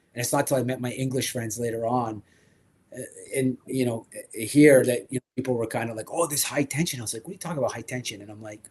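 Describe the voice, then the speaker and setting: At a very fast pace, a man with a medium pitch speaks in an animated, somewhat breathy tone, with big swings in loudness. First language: French. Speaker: toy collecting show host. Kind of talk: casual chat.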